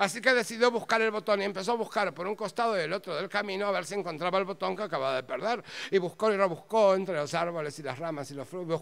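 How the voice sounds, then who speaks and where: A man with a high-pitched, bright and sharp voice talks very fast, his intonation lively. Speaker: storyteller. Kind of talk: live storytelling, humorous tale told to an audience. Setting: stage with audience. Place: stage. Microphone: handheld.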